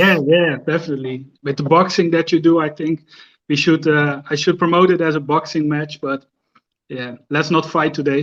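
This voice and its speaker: A man with a Dutch accent, his pitch fairly high, his intonation flat and monotone, at a moderate pace. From Netherlands, near the Belgian border. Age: 30s. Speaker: Instagram fragrance creator, psychiatric care manager. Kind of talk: live stream interview. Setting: at home, live stream.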